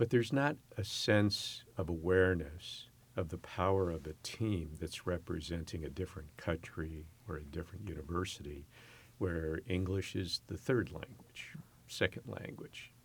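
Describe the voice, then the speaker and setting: With an American accent, a man speaks at a moderate pace in a very deep, low, somewhat breathy voice with ordinary pitch variation, on a very clean recording with a silent background. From US West Coast, San Francisco Bay Area. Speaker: university president. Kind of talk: interview.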